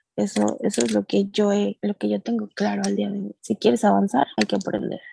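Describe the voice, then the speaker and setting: A woman with a dark, mellow tone speaks at a moderate pace with very wide pitch swings, the sound dry and close with no echo. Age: 30s. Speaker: accountant and cancer survivor. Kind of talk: testimony.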